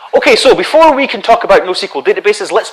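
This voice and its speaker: A man's Scottish accent with very wide pitch swings. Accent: Scottish, noticeable. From Scotland. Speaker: conference speaker on databases. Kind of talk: technical conference talk. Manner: fast.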